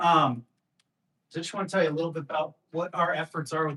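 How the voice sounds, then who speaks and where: A man speaks quietly in a bright, sharp tone. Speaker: police lieutenant. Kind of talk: presentation at community meeting. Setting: community meeting at police substation. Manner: volume inconsistent, too loud or too quiet.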